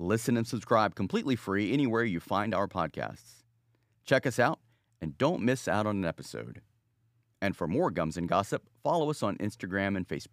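A man with a normal speaking voice talks at a fairly low pitch and a moderate pace, with lively intonation. The recording is very clean and dry, close with no echo, over a silent background. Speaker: trailer announcer. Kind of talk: scripted promo narration.

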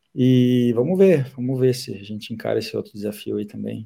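The man speaks at a fairly quick pace with a medium pitch. His tone is dark and mellow. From southern Brazil, Caxias do Sul. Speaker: football fitness coach. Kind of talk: casual interview. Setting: remote call from abroad.

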